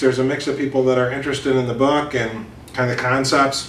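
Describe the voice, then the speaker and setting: A man talks at a very fast pace with a medium pitch and a monotone, flat intonation. Noticeable background noise and audible room echo are present. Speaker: business author and consultant. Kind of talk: interview. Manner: casual with many fillers.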